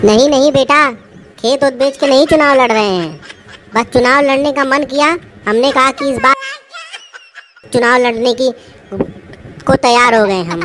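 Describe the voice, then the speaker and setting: A female-sounding voice with a high pitch moves at a moderate pace. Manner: coaxing, scolding, boastful.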